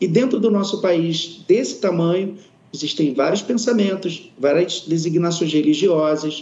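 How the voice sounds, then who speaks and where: This man's high-pitched voice moves at a fairly slow pace with ordinary pitch variation. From Amazonas, Brazil. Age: 40s. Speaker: product management employee. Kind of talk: corporate panel discussion. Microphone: connection delay.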